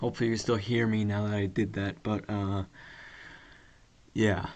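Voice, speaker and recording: A man with a fairly low voice speaks at a moderate pace in a monotone, flat intonation. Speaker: podcast host. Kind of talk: casual solo monologue. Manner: casual with many fillers.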